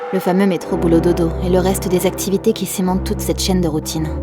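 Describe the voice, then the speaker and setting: Background music plays. Over it, a woman speaks very fast. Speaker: voice-over actress, dubbing actress and nursery rhyme singer. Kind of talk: reflective monologue to camera about the meaning of life.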